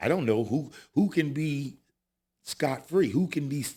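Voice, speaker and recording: A man speaks with an American accent at a fairly slow pace. His voice is somewhat breathy and fairly high in pitch, with a dark, mellow tone. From California, Modesto. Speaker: actor and former paparazzo. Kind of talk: casual chat.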